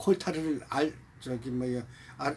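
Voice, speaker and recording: Somewhat breathy, the man's voice sits at medium pitch. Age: 70s. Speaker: painter. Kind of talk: personal life story told to camera. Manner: casual, conversational.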